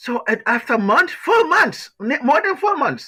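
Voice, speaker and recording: A raised, projected voice with a bright, sharp tone moves at a moderate pace through very wide pitch swings. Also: man. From Liberia. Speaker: author. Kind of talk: interview answer.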